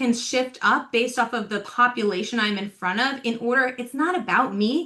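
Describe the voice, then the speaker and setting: A woman with an animated tone speaks loud and high at a moderate pace. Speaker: talent development coach. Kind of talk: podcast interview.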